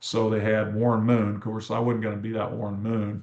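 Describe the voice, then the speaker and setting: Here a man talks at a fairly quick pace. He has a fairly low pitch and a Midwestern US accent. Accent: US Midwest. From Kansas. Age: 60s. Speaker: teacher and coach. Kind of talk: interview.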